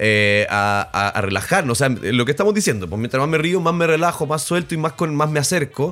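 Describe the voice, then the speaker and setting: A man talks with a Chilean accent and hardly any pauses. His fairly high voice swings very widely in pitch. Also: fairly quick pace, very even loudness. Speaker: sex educator podcast co-host, actor and musician. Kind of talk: casual chat.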